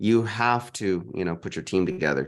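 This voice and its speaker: An unremarkable speaking voice with an American accent moves at a moderate pace. The intonation is lively and the background is quiet. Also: man. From Texas, San Antonio. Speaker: real estate investor. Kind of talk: interview.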